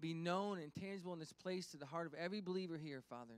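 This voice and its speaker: A man's high-pitched voice at a very fast pace, dry with no echo. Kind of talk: sermon-style address and prayer. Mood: warm, encouraging, then prayerful. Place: church. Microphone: handheld.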